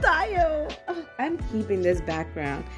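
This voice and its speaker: A woman talks fairly slowly. Behind her, music is playing. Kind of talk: excited unboxing vlog chat. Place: home room. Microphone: phone near.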